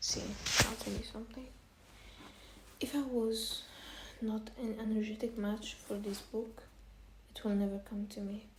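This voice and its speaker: With a fairly high pitch, a woman speaks at a moderate pace in a monotone, flat intonation, leaving long, frequent pauses, amid noticeable background noise and audible room echo. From Egypt. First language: Arabic. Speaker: self-help vlogger. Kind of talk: casual advice monologue. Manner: halting, repetitive.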